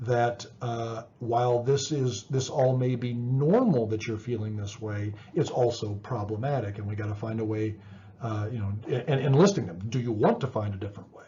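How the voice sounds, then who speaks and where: A man's medium-pitched, somewhat breathy voice at a moderate pace, with ordinary pitch variation, big swings in loudness and audible room echo. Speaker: psychology professor. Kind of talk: lecture. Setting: recorded video lecture with slides. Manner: halting, many repetitions and fillers.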